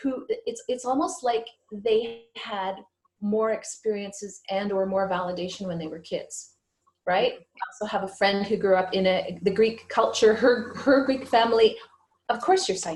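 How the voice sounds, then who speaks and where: This woman has an ordinary speaking voice, fairly high in pitch, with ordinary pitch variation. She keeps a moderate pace while her loudness swings widely. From Canada, Ottawa. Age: 60s. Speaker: psychic medium. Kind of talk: interview.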